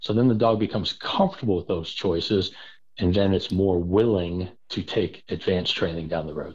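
An unremarkable speaking voice from a man with an American accent, at a moderate pace. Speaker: spaniel trainer. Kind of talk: casual interview chat.

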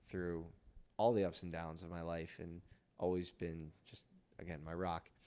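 Monotone, flat intonation in an American accent, on a very clean recording with a silent background. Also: man. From US, Philadelphia. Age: 20s. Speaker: podcast host and entrepreneur. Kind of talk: casual interview.

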